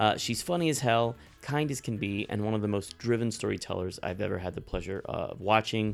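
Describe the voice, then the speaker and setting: Music plays in the background as a man talks with an American accent. His voice sits at a medium pitch with lively intonation. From San Antonio, Texas. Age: 40s. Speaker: podcast host. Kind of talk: casual interview chat.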